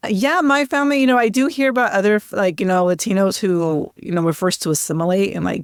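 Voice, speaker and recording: Lively intonation carries a woman's medium-pitched voice at a fairly quick pace. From US, Sacramento, California. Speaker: filmmaker. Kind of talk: interview. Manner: casual, many fillers.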